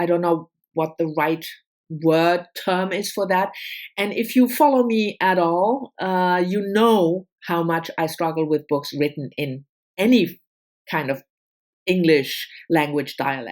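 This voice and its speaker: A woman speaks at a fairly slow pace and a fairly low pitch with ordinary pitch variation, in a very clean recording with a silent background. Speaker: book vlogger. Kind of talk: casual chat. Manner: halting, many fillers.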